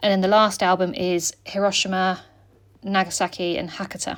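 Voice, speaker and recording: A woman with a British accent speaks in a relaxed tone at medium pitch and a moderate pace. The recording is very clean, with a silent background. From UK. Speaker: scrapbooking vlogger. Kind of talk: casual chat. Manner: relaxed, many fillers.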